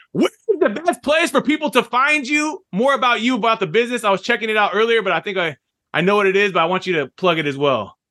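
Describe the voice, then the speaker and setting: In a raised, projected voice with a bright, sharp tone, a high-pitched man speaks at a very fast pace, his pitch swinging very widely. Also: dry, close sound with no echo. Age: 40s. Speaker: podcast host and business owner. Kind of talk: casual interview.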